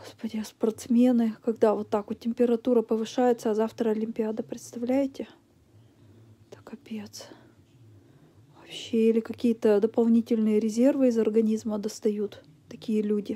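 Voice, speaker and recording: A woman's dark, mellow, tired tone in a monotone, flat intonation at a moderate pace, with long, frequent pauses. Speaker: vlogger. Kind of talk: casual vlog chat. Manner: tired, feverish, low-energy voice. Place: home room.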